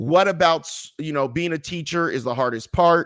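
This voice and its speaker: Against a silent background in a very clean recording, a man with a fairly high pitch and an animated tone talks at a moderate pace. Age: 40s. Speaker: comedian and motivational speaker. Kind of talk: casual chat.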